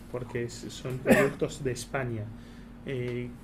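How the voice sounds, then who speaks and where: A man talks with an Argentine accent. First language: Hebrew (speaking Spanish). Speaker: embassy spokesperson. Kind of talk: talk at a colloquium. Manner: halting, many fillers.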